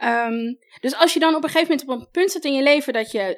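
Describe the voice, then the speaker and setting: Talking at a fairly quick pace, a woman speaks at a high pitch with very wide pitch swings in a very clean recording with a silent background. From Netherlands (adopted from Colombia as a child). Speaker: style coach. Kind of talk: advice podcast interview.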